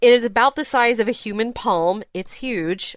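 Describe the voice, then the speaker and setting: In a dry, close recording with no echo, a woman speaks at a moderate pace in an animated tone with lively intonation. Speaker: podcast co-host. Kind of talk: casual chat, news roundup. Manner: laughs often, animated.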